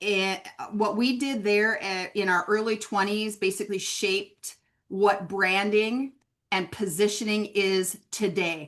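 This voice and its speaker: A woman's medium-pitched voice at a fairly slow pace. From US Upper Midwest, Minneapolis. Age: 50s. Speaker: branding consultant. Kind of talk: webinar conversation.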